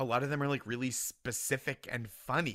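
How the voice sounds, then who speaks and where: Recorded very cleanly over a silent background, a man speaks at a fairly slow pace in a medium pitch with a bright, sharp tone and ordinary pitch variation. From Boston suburbs, US. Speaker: comedian.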